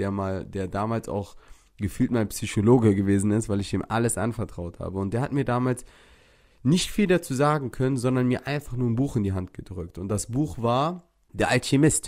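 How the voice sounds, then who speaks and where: The delivery is animated, at a moderate pace with ordinary pitch variation. The recording is very clean with a silent background. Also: man. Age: 30s. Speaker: podcast host and social media influencer. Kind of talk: casual motivational monologue.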